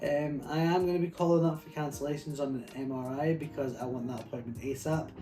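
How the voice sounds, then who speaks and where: The speech moves at a very fast pace with noticeable background noise. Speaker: fitness vlogger, gym worker. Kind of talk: personal video diary. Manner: hesitant, many fillers.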